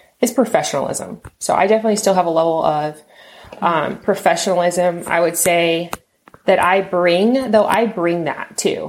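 A normal speaking voice from a woman with an American accent, fairly low in pitch, with ordinary pitch variation at a moderate pace. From Texas. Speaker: model and author, former event planner. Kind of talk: casual interview chat.

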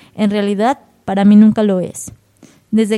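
Music plays in the background as a woman speaks at a moderate pace. Her pitch is fairly high. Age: 20s. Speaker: poet. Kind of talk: casual chat. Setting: cultural venue.

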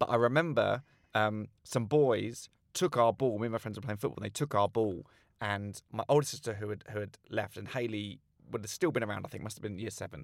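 A man with a southern English accent speaks at a fairly quick pace and a fairly low pitch. The recording is very clean, with a silent background. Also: ordinary pitch variation. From south-east England, Slough. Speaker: comedian. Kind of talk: casual chat.

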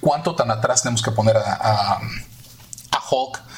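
A man's mid-range voice is heard against clearly audible background noise. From Mexico City. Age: 40s. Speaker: visual effects artist. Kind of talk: interview.

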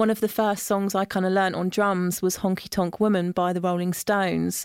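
In a very clean recording with a silent background, a woman talks with a southern English accent. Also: dry, close sound with no echo. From Isle of Wight, southern England. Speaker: studio booking manager. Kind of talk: interview. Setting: recording studio.

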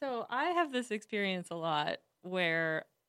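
This woman has a normal speaking voice at medium pitch, with lively intonation. The recording is very clean, with a silent background. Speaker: guest friend of hosts. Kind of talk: casual chat.

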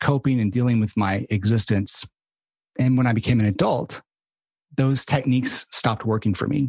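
A somewhat breathy man speaks at a fairly quick pace with an American accent and very even loudness. The sound is dry and close, with no echo. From rural Arkansas, US South. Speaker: author and mindset coach. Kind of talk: casual interview chat. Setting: podcast interview.

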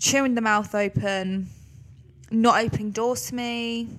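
Speaking fairly slowly, a woman uses a fairly high pitch, a fairly bright tone and fairly even intonation.

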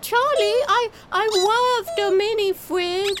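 A put-on character voice, extremely high in pitch, talks at a very slow pace over loud background noise. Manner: cute, chirpy.

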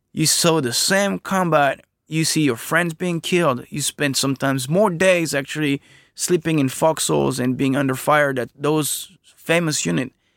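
In a French accent, a man talks at a moderate pace with fairly high pitch and ordinary pitch variation, captured as a very clean recording with a silent background and a dry, close sound with no echo. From France. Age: 30s. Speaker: veteran oral historian. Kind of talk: casual interview.

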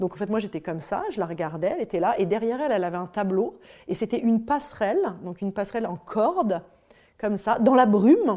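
A woman with fairly high pitch and a dark, mellow tone speaks at a very fast pace with lively intonation. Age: 40s. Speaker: psychotherapist and yoga teacher, former magazine editor. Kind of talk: personal testimony.

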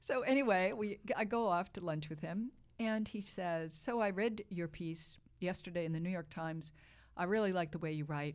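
An ordinary speaking voice from a woman with an American accent, fairly low in pitch, at a moderate pace with ordinary pitch variation, on a very clean recording with a silent background. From Boston, US. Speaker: wine writer and author. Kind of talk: casual interview chat.

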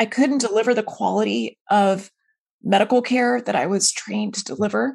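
A woman's medium-pitched voice with vocal fry and lively intonation. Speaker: physician and author. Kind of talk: interview. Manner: fast, animated.

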